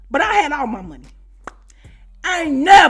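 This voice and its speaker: Music in the background behind a woman with an American accent, her high voice animated and full of very wide pitch swings at a moderate pace. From US Midwest, Chicago. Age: 40s. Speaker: YouTuber, storyteller. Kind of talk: storytime monologue. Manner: animated, conversational.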